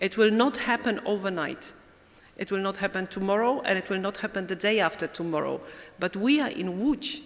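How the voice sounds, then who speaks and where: Here a woman is speaking. She has a Polish accent. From Poland. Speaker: European Commission director. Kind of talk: closing conference speech.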